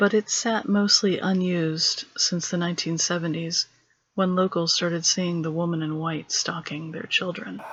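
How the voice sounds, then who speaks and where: Woman with an ordinary speaking voice, fairly low in pitch, fairly even intonation, moderate pace. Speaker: storyteller. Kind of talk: horror story narration.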